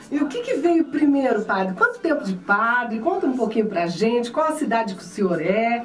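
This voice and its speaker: Her high voice swings very widely in pitch as this woman talks at a moderate pace with hardly any pauses over light background noise. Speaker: radio and TV host. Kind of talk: casual interview. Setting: radio/TV studio. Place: studio.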